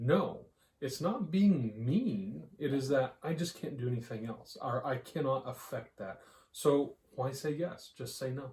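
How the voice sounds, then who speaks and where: Lively intonation runs through a somewhat breathy voice with a dark, mellow tone and an American accent. The pace is fairly slow. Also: man, medium pitch for a man. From Texas, US. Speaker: podcast co-host. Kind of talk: casual chat.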